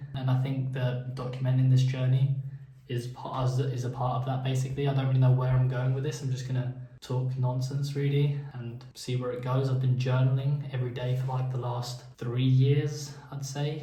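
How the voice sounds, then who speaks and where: The voice holds a monotone, flat intonation, with audible room echo. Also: man, medium pitch for a man. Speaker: vlogger and small business owner. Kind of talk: casual vlog monologue. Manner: halting, many filler words.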